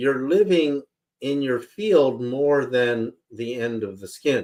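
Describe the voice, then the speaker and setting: Lively intonation and big swings in loudness in an American accent, at a very slow pace. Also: man, medium pitch for a man. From Berkeley, California, US. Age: 60s. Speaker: spiritual researcher and author. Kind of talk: interview. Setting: live radio broadcast. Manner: animated.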